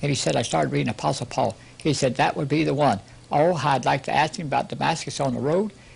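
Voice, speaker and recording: Talking very fast, a man with a fairly high pitch uses lively intonation and vocal fry. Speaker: preacher. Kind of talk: sermon. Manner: animated.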